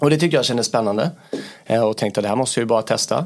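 Against noticeable background noise, a man at a medium pitch speaks with very wide pitch swings. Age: 30s. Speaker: business area manager. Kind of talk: interview.

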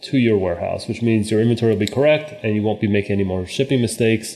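A man talks in a plain, everyday voice. His pitch sits fairly low, with ordinary pitch variation. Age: 40s. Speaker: company founder and CEO. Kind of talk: interview.

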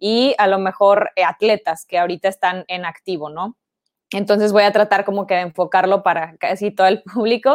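Moving at a moderate pace, a plain, everyday voice carries ordinary pitch variation. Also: woman, medium pitch for a woman. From Mexico, Ciudad Victoria (Tamaulipas). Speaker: sports marketing agency co-founder. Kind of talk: online talk / interview. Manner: casual, many filler words.

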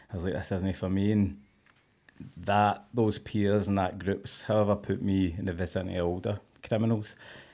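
Monotone, flat intonation from a man with a fairly low pitch and a dark, mellow tone. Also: fairly quick pace. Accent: west of Scotland. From Scotland, Cumbernauld. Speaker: former prisoner. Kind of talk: casual chat.

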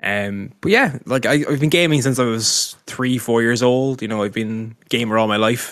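Speaking in a Dublin accent with hardly any pauses, a man keeps a medium pitch and ordinary pitch variation. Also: moderate pace. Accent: Dublin Irish. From Ireland, Dublin. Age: 30s. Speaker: esports caster and streamer. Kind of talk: casual interview.

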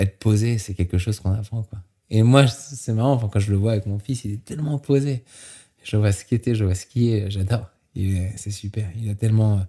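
Speaking at a moderate pace, a man uses a fairly low pitch and fairly even intonation. His voice is somewhat breathy with a dark, mellow tone. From France (Normandy, grew up partly Mont Blanc area). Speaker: extreme skier and base jumper. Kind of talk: interview.

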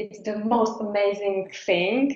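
A woman of medium pitch at a very slow pace, in a Czech accent. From Czech Republic. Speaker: business founder. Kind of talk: interview. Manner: halting.

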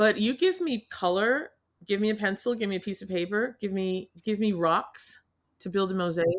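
Someone with an American accent speaks in an animated, upbeat tone. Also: woman, medium pitch for a woman, ordinary pitch variation, moderate pace. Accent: Boston, slight, r-dropping when comfortable. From New England. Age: 60s. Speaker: artist and healer. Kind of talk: casual interview conversation. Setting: video call podcast with painting behind her.

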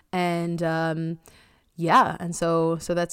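On a very clean recording with a silent background, a woman with an American accent talks at a fairly low pitch. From US Northeast, Long Island, New York. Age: 30s. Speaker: astrophysicist. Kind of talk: casual chat.

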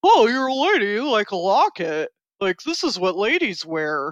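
A woman's put-on character voice, fairly high in pitch, with very wide pitch swings, a moderate pace and a dry, close sound with no echo. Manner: dim, mocking.

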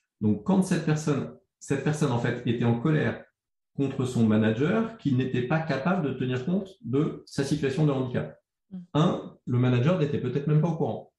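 A man's fairly high, somewhat breathy voice with a dark, mellow tone and lively intonation. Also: moderate pace. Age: 50s. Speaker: communication agency founder. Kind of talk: interview conversation. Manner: halting.

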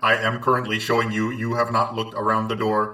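Putting on a character voice, a man delivers a deadpan tone at a medium pitch and a fairly quick pace. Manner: deadpan, literal.

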